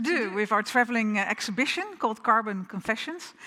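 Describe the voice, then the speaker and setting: A fairly high-pitched woman's voice with a bright, sharp tone and a Dutch accent. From Netherlands. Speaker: architect, firm co-founder. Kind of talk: keynote lecture. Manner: hesitant, many fillers.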